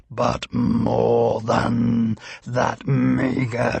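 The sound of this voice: An unforced reading voice carries the whole clip.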